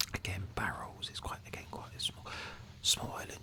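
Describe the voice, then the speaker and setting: A man is whispering at a moderate pace. Noticeable background noise can be heard. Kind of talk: casual ASMR gameplay commentary, whispered. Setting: studio, Blue Yeti microphone. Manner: whispered, soft-spoken.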